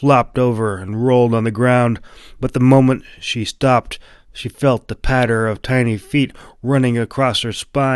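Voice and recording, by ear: With fairly even intonation, the text is delivered by reading aloud in a natural voice.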